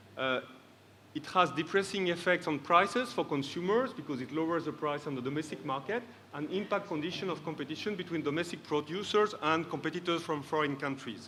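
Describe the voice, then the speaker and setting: A man with a fairly high voice talks at a fairly quick pace. His pitch varies normally, and the room echo is audible. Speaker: trade policy expert panelist. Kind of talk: conference presentation. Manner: fast.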